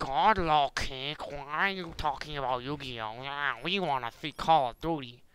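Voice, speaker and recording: In a put-on character voice, a man speaks at a moderate pace with a fairly high pitch, hardly any pauses and big swings in loudness. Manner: whiny complaining.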